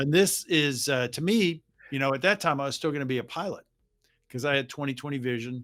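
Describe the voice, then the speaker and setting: On a very clean recording with a silent background, a man with an American accent uses a plain, everyday voice, a fairly high pitch, ordinary pitch variation and a fairly quick pace. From US South, Jacksonville, Florida. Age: 60s. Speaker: retired navy aviator. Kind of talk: interview.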